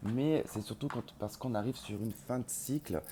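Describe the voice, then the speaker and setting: Here a man speaks at a moderate pace with lively intonation. His tone is dark and mellow. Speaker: tarot reader. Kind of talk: tarot reading to camera. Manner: quiet, cannot speak loudly; hesitant, many filler sounds.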